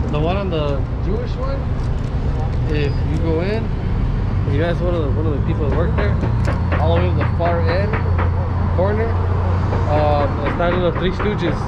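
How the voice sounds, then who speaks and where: Long, frequent pauses break up a man's speech against loud background noise. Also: moderate pace. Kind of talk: casual conversation. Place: street. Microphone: phone near.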